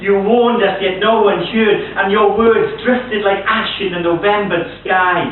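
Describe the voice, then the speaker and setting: With noticeable background noise behind him, a man talks at a fairly slow pace with a Welsh accent. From Wales. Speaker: poet. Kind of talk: poetry reading.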